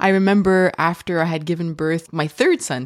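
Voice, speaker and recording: Recorded very cleanly with a silent background and a dry, close sound with no echo, a woman talks at a moderate pace. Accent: French. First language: French. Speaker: podcast host. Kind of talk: casual interview chat.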